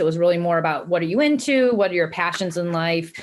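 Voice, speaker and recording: A woman's fairly low-pitched voice with an American accent. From US Midwest, Cleveland, Ohio. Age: 40s. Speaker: nonprofit executive director. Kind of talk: interview talk. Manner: frequent fillers (um).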